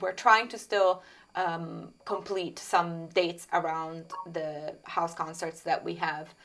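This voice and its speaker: A woman speaks very slowly with an Italian accent at a fairly low pitch. Her intonation is monotone and flat. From Italy, Tuscany. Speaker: singer-songwriter. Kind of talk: interview.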